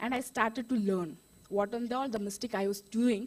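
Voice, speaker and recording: Her pace is fairly quick. This woman's fairly high pitch shows ordinary variation. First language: Indian language, not English. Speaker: beauty expert sharing her story. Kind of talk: testimony. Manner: animated; halting.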